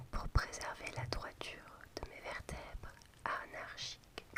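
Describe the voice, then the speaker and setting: Very slow whispering from a woman amid noticeable background noise. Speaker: ASMR creator. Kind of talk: whispered book reading for sleep. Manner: whispered.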